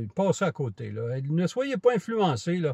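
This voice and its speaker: A man with a dark, mellow, somewhat breathy tone speaks at a fairly slow pace, his pitch swinging very widely. The sound is dry and close, with no echo. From Quebec. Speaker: camera vlogger. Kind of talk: casual vlog monologue. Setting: outdoors on a walk. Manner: hesitant, many fillers.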